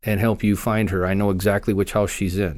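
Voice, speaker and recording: A man with an American accent has an ordinary speaking voice, fairly low in pitch with fairly even intonation. The recording is very clean, with a silent background. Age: 50s. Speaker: law enforcement officer. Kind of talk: interview, personal story.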